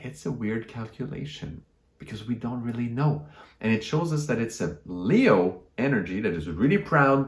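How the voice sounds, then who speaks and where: A man with a French Canadian accent, somewhat breathy and with lively intonation. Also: medium pitch for a man, moderate pace. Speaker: astrologer. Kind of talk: astrology talk to camera.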